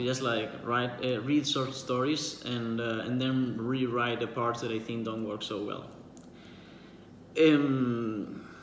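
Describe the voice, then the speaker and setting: A medium-pitched man with a Spanish accent at a very slow pace, with audible room echo. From Spain. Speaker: writer and book vlogger. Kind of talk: casual monologue answering a book tag. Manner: halting, many fillers and repetitions.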